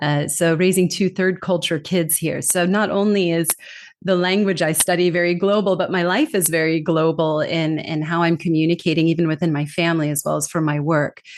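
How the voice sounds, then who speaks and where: Speaking with a Californian accent at a fairly quick pace, a woman keeps a fairly low pitch and very even loudness. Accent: American, from California. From California, US. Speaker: communication trainer and author. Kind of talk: podcast interview. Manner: lively.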